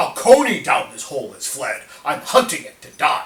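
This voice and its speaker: Moderate pace in a man's put-on character voice. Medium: solo performance. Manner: blustering, slow-witted.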